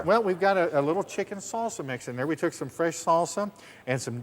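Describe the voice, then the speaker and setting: A man speaks with an American accent at a very fast pace. His pitch varies in an ordinary way. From US Southwest. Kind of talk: infomercial demonstration. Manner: enthusiastic, folksy.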